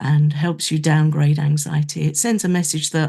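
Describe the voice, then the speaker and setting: Her somewhat breathy voice is very deep and low in pitch, with a dark, mellow tone, flat monotone intonation and a moderate pace. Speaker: podcast co-host. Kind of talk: casual chat.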